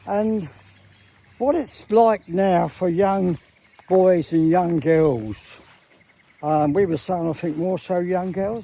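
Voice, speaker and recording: Speaking very slowly with long, frequent pauses, a man with an English accent talks at a high pitch with ordinary pitch variation over noticeable background noise. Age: 80s+. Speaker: vlogger. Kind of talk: casual monologue. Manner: halting.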